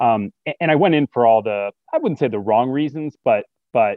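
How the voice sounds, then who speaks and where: At a fairly slow pace, a man with a Midwestern American accent talks at medium pitch with ordinary pitch variation. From US Midwest, Metro Detroit, Michigan. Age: 40s. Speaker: business executive, alumnus. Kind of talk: interview. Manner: halting, with repetitions and fillers.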